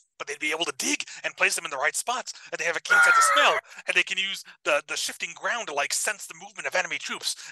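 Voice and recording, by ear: A raspy, put-on character voice sits at a middle pitch. It races along at a very fast pace.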